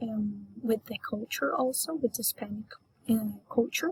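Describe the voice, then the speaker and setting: A woman's somewhat breathy, fairly high voice has ordinary pitch variation and a dry, close sound with no echo. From Colombia, Antioquia. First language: Spanish. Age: 20s. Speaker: Spanish teacher and English learner. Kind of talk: class self-introduction. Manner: hesitant, many fillers.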